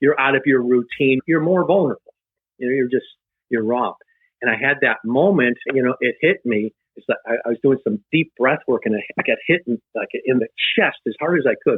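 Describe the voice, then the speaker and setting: A man talks at a fairly quick pace in an ordinary speaking voice, his pitch moving in an ordinary way. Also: medium pitch for a man. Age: 60s. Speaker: life coach. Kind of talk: casual chat.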